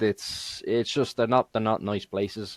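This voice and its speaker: A man talks with a Dublin accent. The sound is dry and close with no echo. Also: very clean recording, silent background. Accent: Dublin Irish. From Ireland, Dublin. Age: 30s. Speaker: gamer and streamer. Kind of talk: podcast interview. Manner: halting, many fillers.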